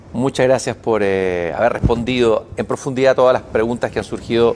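A man talks at a fairly quick pace in a normal speaking voice. His pitch is medium for a man, with ordinary pitch variation. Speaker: TV interviewer. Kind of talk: interview. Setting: studio with live broadcast.

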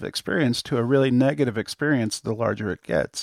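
The recording of this man is very clean, dry and close, with a silent background, no echo and ordinary pitch variation. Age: 40s. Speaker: startup founder and software developer. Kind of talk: casual interview. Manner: halting, many fillers and repeats.

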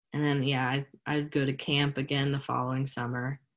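Over a quiet background, a woman with a very deep, low pitch speaks at a moderate pace with an American accent. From Pennsylvania, US. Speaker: college student and youth ministry leader. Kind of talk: casual interview about faith. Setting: video call.

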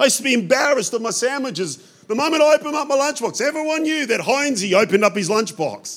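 A man with an Australian accent speaks very fast in an extremely high voice, animated in tone and with lively intonation. Background noise is noticeable. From Australia, European immigrant family. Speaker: pastor. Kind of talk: sermon. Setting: church.

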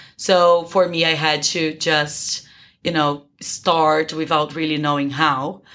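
A woman's very deep, low pitch with a bright, sharp tone, flat monotone intonation, a very slow pace and a Brazilian accent, over a quiet background. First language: Portuguese. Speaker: business school student. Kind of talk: interview.

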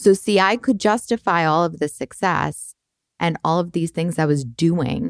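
A woman's plain, everyday voice at a fairly low pitch and moderate pace, with an American accent, dry and close with no echo. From Boston. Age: 30s. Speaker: podcast co-host, coach. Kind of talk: casual chat.

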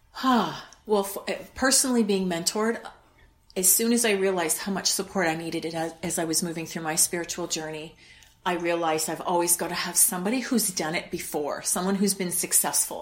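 In a Canadian accent, a woman with an unremarkable speaking voice talks at a fairly quick pace and medium pitch, her pitch varying in an ordinary way. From Canada, Winnipeg. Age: 50s. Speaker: wellness coach. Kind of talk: interview.

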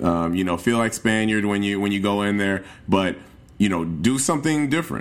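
Fairly low in pitch, this man has an ordinary speaking voice and an American accent. He talks at a fairly quick pace with lively intonation. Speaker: travel podcast host. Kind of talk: casual solo podcast talk.

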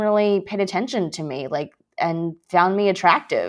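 A woman talks in a normal speaking voice, medium in pitch, with ordinary pitch variation and a moderate pace. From US (moved from China at five). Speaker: business reporter. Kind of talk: interview conversation.

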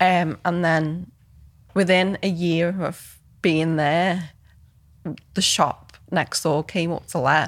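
A woman with a Liverpool accent speaks at a very slow pace in a fairly low pitch. Her intonation is fairly even, broken by long, frequent pauses. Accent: Liverpool (Scouse) English. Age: 30s. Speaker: photographer and filmmaker. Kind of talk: casual interview. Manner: hesitant, many fillers.

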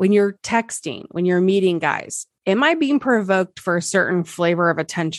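The recording of this woman speaking at a moderate pace is dry and close with no echo and a quiet background. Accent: American. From Nebraska. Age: 40s. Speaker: relationship coach. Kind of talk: interview.

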